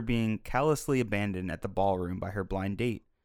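An unremarkable speaking voice at a moderate pace with ordinary pitch variation, in a very clean recording with a silent background. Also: man. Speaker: podcast co-host, film reviewer. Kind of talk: casual film discussion.

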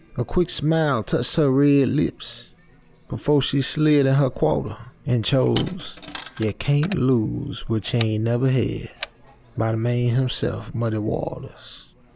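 With noticeable background noise behind him, a man of medium pitch talks at a fairly slow pace with ordinary pitch variation. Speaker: story narrator. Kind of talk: literary audiobook reading. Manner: measured, atmospheric storytelling pace; dramatic, brooding tone.

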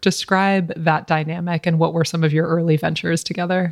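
A woman's unremarkable speaking voice, fairly low in pitch, at a moderate pace over a quiet background. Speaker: podcast host. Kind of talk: interview, polished intro.

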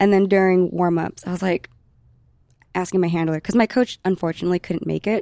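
A woman speaks at a fairly quick pace with a medium pitch and a dark, mellow tone. Her intonation stays fairly even, and the sound is dry and close with no echo. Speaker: professional powerlifter. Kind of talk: casual chat.

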